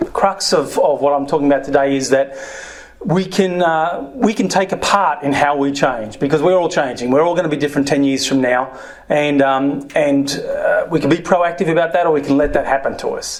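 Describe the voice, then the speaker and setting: Noticeable background noise sits behind a man speaking with an Australian accent. His fairly high voice moves at a fairly quick pace with ordinary pitch variation. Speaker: former software entrepreneur, speaker. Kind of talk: talk to an audience.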